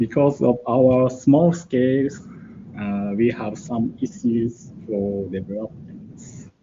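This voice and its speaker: A man with a Japanese accent talks at a very slow pace and medium pitch, his intonation lively. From Japan, Hokkaido. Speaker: embedded programmer. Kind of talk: conference talk. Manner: halting.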